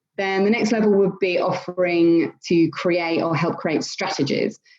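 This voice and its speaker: With an East Yorkshire accent, a woman speaks at a moderate pace and a fairly low pitch, keeping very even loudness and fairly even intonation. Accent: northern English (East Yorkshire). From northern England, near Hull (East Yorkshire). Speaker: social media consultant, business owner. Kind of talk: interview.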